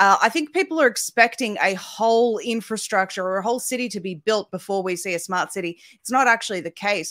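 A woman with an Australian accent at medium pitch, ordinary pitch variation and hardly any pauses, dry and close with no echo. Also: very clean recording, silent background. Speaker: independent media founder. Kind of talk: panel discussion.

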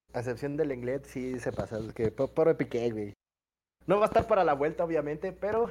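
Against a quiet background, a man with a fairly high pitch talks at a fairly quick pace, his pitch swinging very widely. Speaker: sports podcast co-host. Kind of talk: casual chat.

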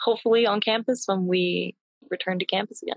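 A woman talks in a plain, everyday voice at medium pitch. Her intonation is fairly even. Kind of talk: interview conversation. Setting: video call.

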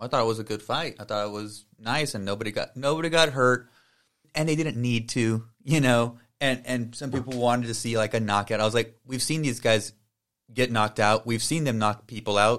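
With an unremarkable speaking voice, a man talks at a fairly quick pace, medium pitch and fairly even intonation. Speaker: podcast host. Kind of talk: interview conversation. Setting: video call.

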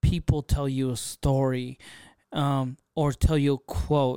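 On a very clean recording with a silent background, a man with fairly high pitch speaks at a very slow pace in a monotone, flat intonation. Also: dry, close sound with no echo. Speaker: podcast host and content creator. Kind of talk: casual solo monologue. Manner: unscripted, off the cuff.

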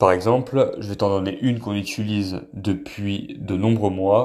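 At a fairly slow pace and with fairly even intonation, a man speaks in a very clean recording with a silent background. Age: 30s. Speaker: wellness content creator. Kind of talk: casual monologue to camera. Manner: hesitant, with fillers.

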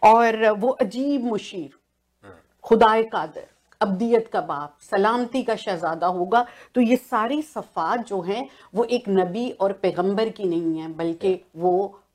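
A woman has a plain, everyday voice. Her pitch is fairly high, with ordinary pitch variation. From Pakistan, Punjab (Okara). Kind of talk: religious panel discussion.

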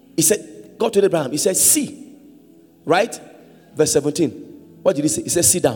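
A man with a high pitch speaks at a moderate pace in an animated tone. His pitch swings very widely, broken by long, frequent pauses. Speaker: preacher. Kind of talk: sermon. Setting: church with congregation. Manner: call-and-response.

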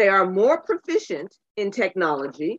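The woman has a normal speaking voice at a medium pitch. She goes at a fairly slow pace. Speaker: panelist reading introduction. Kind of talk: reading aloud.

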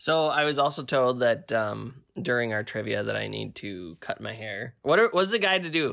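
This man's medium-pitched voice has a bright, sharp tone and very wide pitch swings, moving at a moderate pace with hardly any pauses. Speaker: co-host. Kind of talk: casual chat. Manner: interrupts often, talks over.

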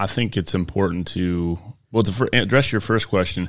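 The voice is a man's, with a Michigan accent. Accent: Inland North American (Michigan). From US Midwest. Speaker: chiropractor. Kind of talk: casual chat. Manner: halting.

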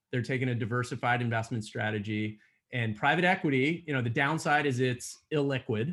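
A man with an American accent and an ordinary speaking voice talks at a fairly quick pace and medium pitch, with ordinary pitch variation, over a quiet background. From Pennsylvania (Allentown). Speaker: growth equity investor. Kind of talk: interview.

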